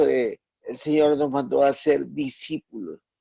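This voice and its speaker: At a very slow pace, a man speaks with a fairly high pitch and a dark, mellow tone in a dry, close sound with no echo. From Ecuador, Playas. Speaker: online Bible class student. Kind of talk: self-introduction in online class.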